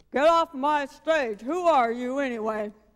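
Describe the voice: Using a put-on character voice, a man speaks at a moderate pace in an extremely high pitch.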